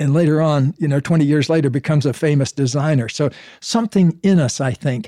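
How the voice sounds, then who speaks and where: At a very fast pace, a man with an American accent speaks in a dark, mellow tone with fairly high pitch and very even loudness, the sound dry and close with no echo. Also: ordinary pitch variation. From US South, Florida. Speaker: author and psychologist. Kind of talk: casual interview.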